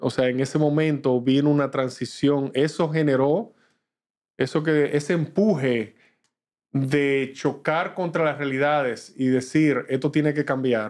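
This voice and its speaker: The loudness stays very even against a quiet background. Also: man, fairly high pitch for a man, fairly even intonation, fairly slow pace. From Dominican Republic. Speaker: business executive; guest. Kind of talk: interview. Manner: halting. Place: studio. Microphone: studio mic.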